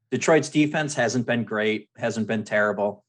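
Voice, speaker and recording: A man speaks in an ordinary speaking voice at a fairly quick pace, with fairly even intonation. The background is quiet. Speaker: fantasy football editor. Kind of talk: casual chat. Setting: phone call.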